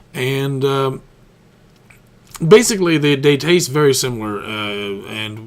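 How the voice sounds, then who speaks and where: A man's voice at medium pitch. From Newfoundland, Canada. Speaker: gaming YouTuber. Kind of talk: gameplay commentary. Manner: casual, hesitant with many fillers.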